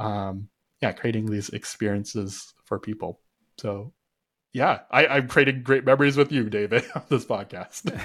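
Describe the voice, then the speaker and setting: In a Canadian accent, a man talks at a moderate pace with medium pitch and ordinary pitch variation, in an unremarkable speaking voice. The recording is very clean and the background silent. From Canada. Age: 20s. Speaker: connection coach. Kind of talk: interview conversation.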